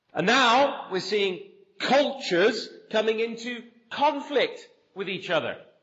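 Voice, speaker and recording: In a room with audible echo, a man with an extremely high pitch speaks at a fairly slow pace with lively intonation. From southwest England, near Bath. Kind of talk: conference talk. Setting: conference hall with audience.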